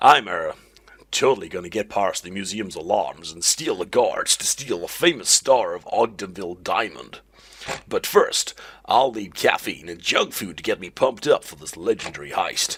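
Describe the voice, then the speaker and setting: A man speaks in a put-on character voice at a medium pitch. His pace is moderate. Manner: exaggerated impression.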